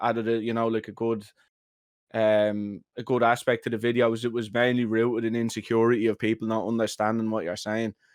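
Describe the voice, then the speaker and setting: Very fast speech in a strong Dublin accent against a quiet background. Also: man. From Ireland, Dublin working-class area. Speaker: content creator. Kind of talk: podcast interview. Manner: animated, many fillers.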